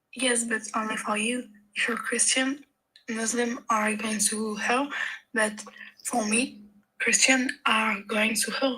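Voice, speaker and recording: The delivery comes at a very slow pace with a monotone, flat intonation. Long, frequent pauses break it up. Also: woman, fairly high pitch for a woman. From France. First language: French. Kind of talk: live debate call. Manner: halting.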